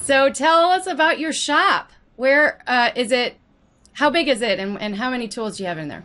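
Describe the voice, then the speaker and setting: Raised and projected, a woman's high, bright, sharp voice makes very wide pitch swings and big swings in loudness at a moderate pace. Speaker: podcast host. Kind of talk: podcast interview.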